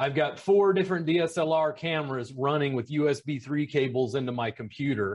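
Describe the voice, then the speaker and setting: Somewhat breathy, a man talks at a fairly high pitch and a moderate pace with ordinary pitch variation. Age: 40s. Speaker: massage educator and business consultant. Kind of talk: casual chat.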